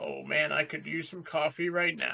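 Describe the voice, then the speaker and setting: Using a put-on character voice, a man delivers his lines at a moderate pace. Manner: mock-gruff.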